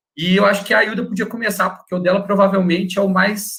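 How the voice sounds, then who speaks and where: A man talks at a fairly quick pace with a high pitch. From Minas Gerais, Brazil. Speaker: wildlife researcher. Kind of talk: casual chat.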